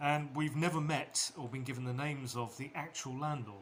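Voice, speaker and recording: This man has a plain, everyday voice and a fairly high pitch. His pace is moderate and his pitch varies in an ordinary way. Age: 60s. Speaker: small business owner. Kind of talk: casual talk to camera. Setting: outdoors.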